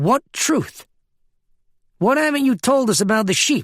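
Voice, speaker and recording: Using a put-on character voice, a man speaks at an extremely high pitch and a moderate pace with lively intonation, very even loudness and a dry, close sound with no echo. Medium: read story. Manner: calm, probing.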